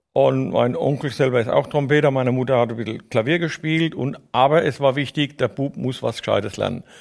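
The voice, with vocal fry and ordinary pitch variation, moves at a fairly quick pace with hardly any pauses. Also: man, medium pitch for a man. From Palatinate, Germany (Neustadt an der Weinstraße). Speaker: orchestra tuba player. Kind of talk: casual interview. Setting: studio.

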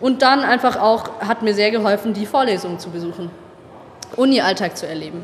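The speech moves at a fairly quick pace with big swings in loudness, and noticeable background noise runs underneath. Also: woman, fairly high pitch for a woman, ordinary pitch variation. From Baden-Württemberg, Tübingen. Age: 20s. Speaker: university student. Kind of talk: interview.

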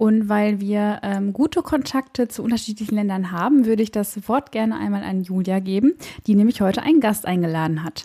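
A woman speaks at a medium pitch and a fairly quick pace. Her voice is somewhat breathy, with ordinary pitch variation. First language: German. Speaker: podcast host, health management worker. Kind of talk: interview.

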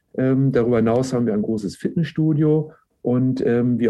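A man talks with ordinary pitch variation, keeping to a moderate pace. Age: 50s. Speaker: university sports director. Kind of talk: interview. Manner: frequent filler hesitations.

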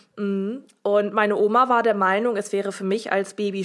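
A woman talks with fairly even intonation. She has an ordinary speaking voice. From northern Germany (Oldenburg). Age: 20s. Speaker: interview guest sharing personal story. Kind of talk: personal testimony in interview.

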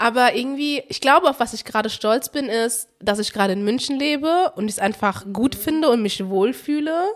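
With hardly any pauses, a woman speaks at a high pitch with lively intonation. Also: moderate pace. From Germany, Frankfurt. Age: 20s. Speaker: podcast guest, engineer in insurance. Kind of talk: casual chat. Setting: studio. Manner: soft-spoken.

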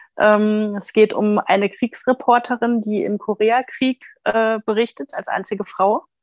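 At a fairly slow pace and with fairly even intonation, the speech has a dry, close sound with no echo. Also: woman. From Ruhr area, Germany (Recklinghausen). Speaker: book blogger. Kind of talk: casual chat.

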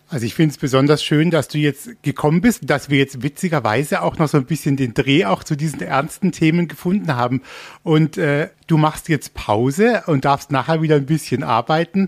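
A man's unremarkable speaking voice, fairly high in pitch, with lively intonation at a moderate pace, in a very clean recording with a silent background and a dry, close sound with no echo. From Baden, Germany. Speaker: radio host. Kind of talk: casual interview. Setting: radio studio in theme park.

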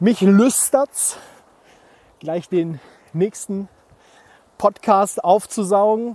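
A man's high, dark and mellow voice at a very slow pace, with long, frequent pauses, ordinary pitch variation, and a dry, close sound with no echo. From Germany, rural village. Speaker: podcast host, founder and former radio presenter. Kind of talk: solo podcast monologue. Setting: outdoors in a forest. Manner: casual, many filler words.

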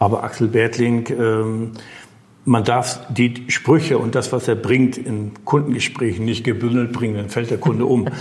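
A man speaks at a fairly slow pace in a medium pitch, his intonation monotone and flat, with noticeable background noise. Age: 60s. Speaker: financial broker. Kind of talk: interview. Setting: broker's office.

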